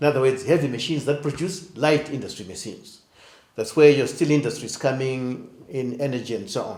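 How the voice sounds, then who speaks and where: Audible room echo surrounds a man speaking at a moderate pace. His voice is fairly high in pitch and somewhat breathy. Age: 70s. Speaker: economics professor. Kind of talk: interview. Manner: blunt.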